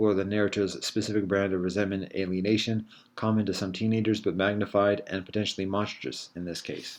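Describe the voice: Text read aloud plainly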